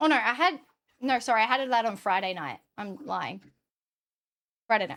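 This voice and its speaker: An Australian-accented woman with a fairly high pitch speaks at a moderate pace, her tone animated, her intonation lively and her loudness swinging widely. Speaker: streamer. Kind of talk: casual chat.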